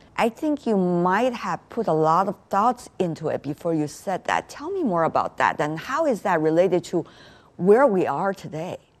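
A woman with a normal speaking voice and a medium pitch talks at a moderate pace. Her intonation is lively. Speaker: TV news interviewer. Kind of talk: interview.

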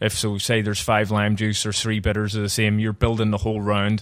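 At a fairly quick pace, a man talks in a fairly low pitch with monotone, flat intonation. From Northern Ireland. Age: 30s. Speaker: bar owner and bartender. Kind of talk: casual interview.

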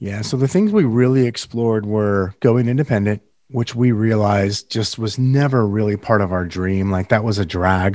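A man with a Californian accent speaks at a moderate pace with hardly any pauses, his pitch fairly low and his intonation fairly even, against a quiet background. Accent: General American (Californian). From Northern California. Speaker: real estate team leader and podcast host. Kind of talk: casual interview.

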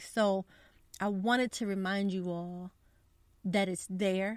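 An unremarkable speaking voice from a woman at medium pitch, fairly slow pace and fairly even intonation, on a very clean recording with a silent background. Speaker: podcast host. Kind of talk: devotional podcast, reading prayer aloud; fervent prayer, earnest and heartfelt, spoken as a petition for persecuted believers. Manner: warm, earnest, sincere; conversational, friendly, somewhat casual with fillers.

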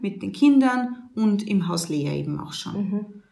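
A woman speaks at a medium pitch and a moderate pace with lively intonation. Room echo is audible. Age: 20s. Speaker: nun running a women's shelter. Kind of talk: interview. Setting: on location at the women's shelter, seated.

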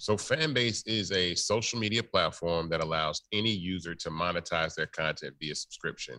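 A man's very deep, low pitch with a bright, sharp tone, lively intonation, a moderate pace, and hardly any pauses, in a very clean recording with a silent background. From Memphis, Tennessee. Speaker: tech founder and voice actor. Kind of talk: interview.

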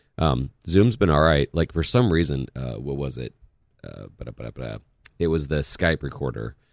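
A man's very deep, low voice with vocal fry and lively intonation. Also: moderate pace. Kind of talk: casual interview chat.

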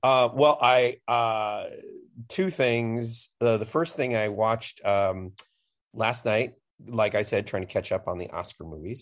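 A man with an ordinary speaking voice, medium pitch and ordinary pitch variation talks at a fairly slow pace against a quiet background. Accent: American. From US Midwest, Chicago. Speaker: film critic. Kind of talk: casual chat.

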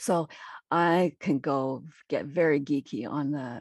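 A woman speaks at a very deep, low pitch with ordinary pitch variation. The sound is dry and close with no echo, on a very clean recording with a silent background. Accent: Canadian. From Manitoba, Canada. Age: 60s. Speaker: retired nursing professor and author. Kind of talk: interview.

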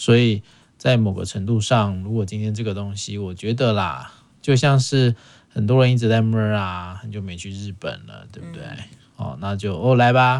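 A man's fairly low voice at a moderate pace, with ordinary pitch variation, big swings in loudness, and a plain, everyday voice. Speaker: podcast host. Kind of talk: casual chat.

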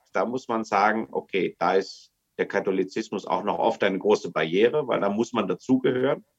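A man talks at a moderate pace with medium pitch and lively intonation. He has a plain, everyday voice. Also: hardly any pauses. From Germany. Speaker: missionary. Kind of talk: casual chat. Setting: video call.

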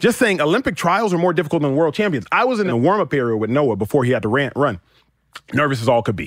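Talking at a very fast pace, a man with an American accent uses a fairly high pitch with very wide pitch swings. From US South, Dallas, Texas. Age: 30s. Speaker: retired football player turned sports talk host. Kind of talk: casual chat.

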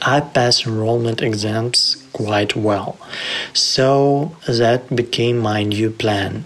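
Against noticeable background noise, a man with a Ukrainian accent speaks very slowly at a medium pitch, with fairly even intonation and very even loudness. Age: 30s. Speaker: programmer turned volunteer. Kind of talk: testimony.

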